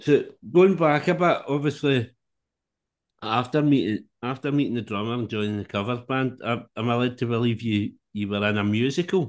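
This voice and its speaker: Someone with a Scottish accent talks at a fairly quick pace with ordinary pitch variation against a quiet background. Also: man, medium pitch for a man. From Scotland. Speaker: podcast host. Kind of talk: interview chat.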